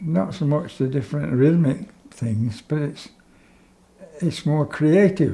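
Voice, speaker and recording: Speaking at a very slow pace, a man with a fairly high pitch and a dark, mellow tone sounds somewhat breathy, his intonation lively. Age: 80s+. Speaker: jazz musician. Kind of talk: interview. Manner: halting.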